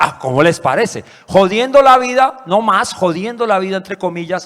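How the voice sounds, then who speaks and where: A man speaks in a high voice at a moderate pace. His pitch swings very widely. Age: 50s. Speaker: musician and orchestra director. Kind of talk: panel talk.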